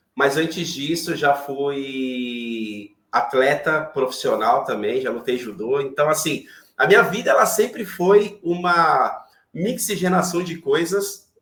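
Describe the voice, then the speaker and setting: This man's speech moves along very slowly. Its melody rises and falls in a lively way. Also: fairly high pitch for a man. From Brazil, São Paulo. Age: 40s. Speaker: IT professional and manager. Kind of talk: interview conversation on a live online chat.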